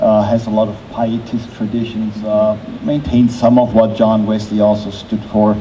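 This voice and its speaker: In a German accent, a man speaks at a moderate pace, with audible room echo and noticeable background noise. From southern Germany. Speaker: theologian. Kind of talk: onstage conversation. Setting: festival stage with audience.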